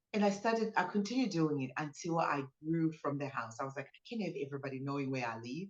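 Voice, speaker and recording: A woman with a Zimbabwean accent speaks at a very fast pace with hardly any pauses, her very deep, low pitch moving in very wide swings while her loudness rises and falls sharply. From Zimbabwe, Harare. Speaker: business owner, spa founder. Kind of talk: interview testimony.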